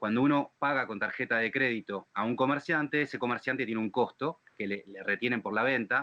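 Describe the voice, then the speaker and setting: Speaking at a fairly quick pace with ordinary pitch variation, the man has an ordinary speaking voice. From Argentina. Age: 40s. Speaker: fintech company executive. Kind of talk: webinar panel talk. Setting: livestreamed webinar.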